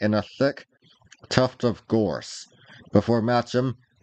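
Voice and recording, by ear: Here we have reading aloud in a natural voice. Its intonation is fairly even.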